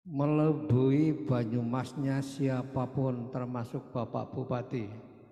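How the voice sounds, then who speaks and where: Over noticeable background noise, a man with a medium-pitched voice talks at a very slow pace in a monotone, flat intonation. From Banyumas, Central Java, Indonesia. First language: Banyumas Javanese (speaking Indonesian). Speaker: writer and magazine editor. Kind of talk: cultural oration.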